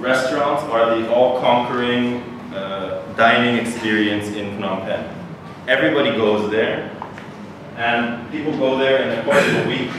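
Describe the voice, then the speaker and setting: A man talks at a fairly slow pace with fairly even intonation. There is strong room echo and noticeable background noise. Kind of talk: lecture. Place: hall.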